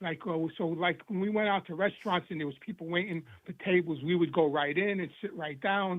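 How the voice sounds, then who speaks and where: A man's high voice with a New York accent, fairly quick pace and fairly even intonation. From New York City, Queens. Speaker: former mobster in recovery. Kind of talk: interview testimony. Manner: halting, repetitive.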